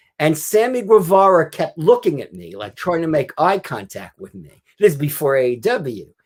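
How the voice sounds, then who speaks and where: An ordinary speaking voice from a man, fairly high-pitched with lively intonation, at a moderate pace in a very clean recording with a silent background. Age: 60s. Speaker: author and wrestling writer. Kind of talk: podcast interview.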